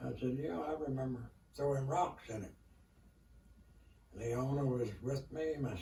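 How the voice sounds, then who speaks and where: Heard over noticeable background noise and audible room echo, a man with an Appalachian accent speaks at a fairly slow pace, medium in pitch, with ordinary pitch variation. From Kentucky. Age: 80s+. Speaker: elderly storyteller. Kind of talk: interview storytelling. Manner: halting.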